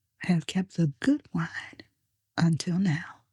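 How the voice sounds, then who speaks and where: A woman's fairly low, dark, mellow voice, calm in tone and somewhat breathy, at a very slow pace with ordinary pitch variation and a dry, close sound with no echo. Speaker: Bible reader / narrator. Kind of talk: quiet Bible reading for sleep. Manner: soft-spoken, calm, slow.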